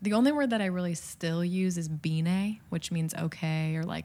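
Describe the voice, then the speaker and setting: At a moderate pace, this voice speaks with an American accent and a dark, mellow tone. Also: woman. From US Midwest. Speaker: middle school advisor, former missionary. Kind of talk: interview.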